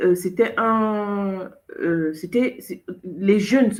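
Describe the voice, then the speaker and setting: A woman has a plain, everyday voice. Her medium pitch varies in an ordinary way. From Cameroon. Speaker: show host. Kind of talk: casual chat.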